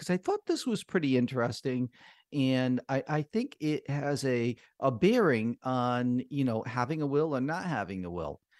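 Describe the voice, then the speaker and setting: A man with an ordinary speaking voice, fairly high pitch and lively intonation at a moderate pace, in a dry, close sound with no echo over a quiet background. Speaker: lawyer and radio host. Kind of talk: live radio call-in show giving legal advice. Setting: live radio studio.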